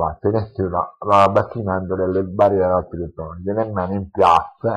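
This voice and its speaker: A man talks at a moderate pace with a very deep, low pitch. His intonation is monotone and flat. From Sicily, Lentini (Siracusa province). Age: 40s. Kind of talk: interview testimony. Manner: halting, many fillers and repetitions. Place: home room. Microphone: headset.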